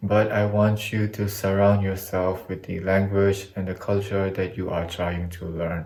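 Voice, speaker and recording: Speaking fairly slowly in a monotone, flat intonation, a man with a non-native accent has a fairly low pitch. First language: not English. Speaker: YouTuber, language learning. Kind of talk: casual vlog monologue.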